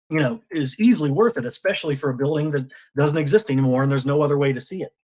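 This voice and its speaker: Talking very fast, a man with a fairly high pitch uses lively intonation. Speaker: 3D photographer. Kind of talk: presentation.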